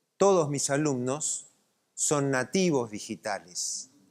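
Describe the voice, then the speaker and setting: A man at a very slow pace with ordinary pitch variation, on a very clean recording with a silent background. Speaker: lecturer. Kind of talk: lecture. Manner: animated.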